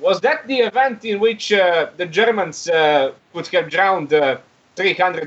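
This man has a high pitch and lively intonation, speaking at a moderate pace. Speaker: caller. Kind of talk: political discussion. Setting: phone call.

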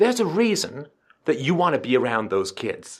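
Man at a fairly quick pace with very wide pitch swings. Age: old. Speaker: call-in show host. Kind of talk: call-in advice conversation.

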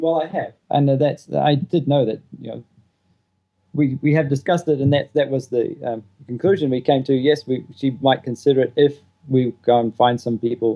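A man with a New Zealand accent speaks at a fairly high pitch and a moderate pace. His tone is dark and mellow, and his intonation fairly even. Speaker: stay-at-home father. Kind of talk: advice call.

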